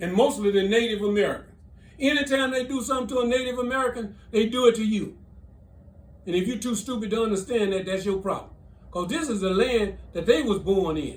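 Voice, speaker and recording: In a room with audible echo, a man with a high pitch speaks at a fairly quick pace in an animated tone with ordinary pitch variation. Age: 70s. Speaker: military veteran. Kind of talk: political commentary.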